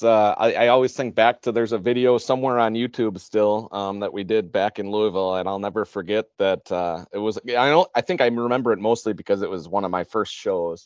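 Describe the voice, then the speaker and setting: Speaking at a fairly quick pace with hardly any pauses, a man with a medium pitch talks with an American accent. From Chicago. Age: 40s. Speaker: trade show organizer. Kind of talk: casual interview.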